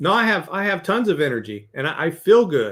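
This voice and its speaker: Bright and sharp in tone, a man speaks at a high pitch and a moderate pace, his pitch swinging very widely. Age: 60s. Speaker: leadership coach and author. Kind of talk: podcast interview.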